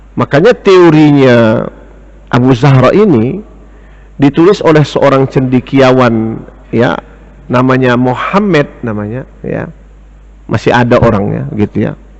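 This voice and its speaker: A man with a medium-pitched voice talks at a fairly slow pace, leaving long, frequent pauses over noticeable background noise. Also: lively intonation. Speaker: Islamic teacher and economics lecturer. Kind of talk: religious lecture. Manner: slow, deliberate; lowered volume.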